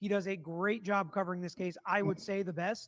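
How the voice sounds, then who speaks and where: A loud man speaks with a high pitch and fairly even intonation. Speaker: true crime commentator. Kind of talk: livestream commentary on trial clips. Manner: casual, conversational.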